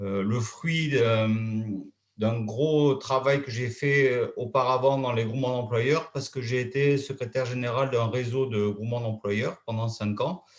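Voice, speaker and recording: Somewhat breathy, a man speaks at medium pitch and a fairly slow pace with fairly even intonation. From southern France, Hérault. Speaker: consultant. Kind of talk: conference presentation.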